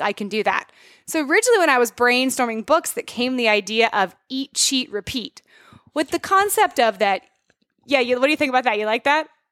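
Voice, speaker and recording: A woman speaks at a fairly quick pace in a high pitch, her tone bright and sharp and her intonation lively. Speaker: dietitian and author. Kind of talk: casual chat.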